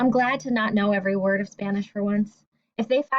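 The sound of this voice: The background has little sound. Over it comes an unforced reading voice.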